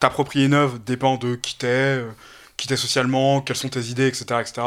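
A man at medium pitch in a very clean recording against a silent background. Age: 20s. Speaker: political science student. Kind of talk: casual chat.

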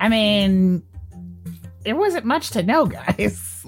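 A put-on character voice speaks with a fairly high pitch at a very slow pace. Clear music plays in the background. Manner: dismissive, exasperated.

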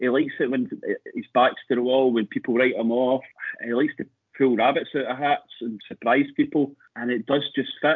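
Here a man talks with a Scottish accent. His voice is fairly high and his pace fairly quick. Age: 40s. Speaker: football fan. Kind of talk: casual chat.

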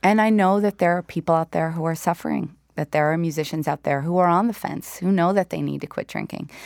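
In a very clean recording with a silent background, a woman speaks very fast in a fairly low voice with fairly even intonation. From Newfoundland and Labrador, Canada. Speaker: singer-songwriter. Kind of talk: casual interview.

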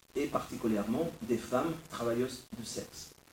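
A man's somewhat breathy voice, medium in pitch with a dark, mellow tone, at a fairly slow pace in audible room echo. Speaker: writer and philosopher. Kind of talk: lecture.

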